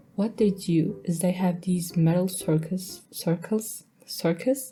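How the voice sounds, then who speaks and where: A woman speaks at a very slow pace with fairly low pitch and ordinary pitch variation. Music plays in the background. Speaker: storytime animator. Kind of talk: casual storytelling narration.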